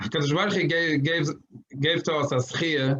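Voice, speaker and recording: With a non-native accent, a man speaks in fairly even intonation. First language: not English. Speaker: rabbi. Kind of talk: lecture. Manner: halting.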